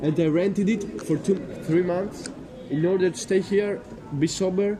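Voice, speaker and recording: A high-pitched man with a Greek accent at a moderate pace, with noticeable background noise. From Greece. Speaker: passerby interviewed on the street. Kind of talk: street conversation. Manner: halting.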